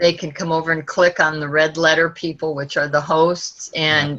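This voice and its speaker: Over noticeable background noise, a woman speaks in a very deep, low pitch with monotone, flat intonation. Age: 70s. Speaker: online church volunteer host. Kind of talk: podcast interview answer.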